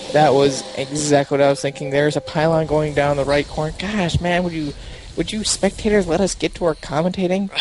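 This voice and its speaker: Noticeable background noise sits behind a man with a fairly high voice. He talks at a fairly quick pace with ordinary pitch variation. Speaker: esports caster. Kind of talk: live commentary. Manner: animated.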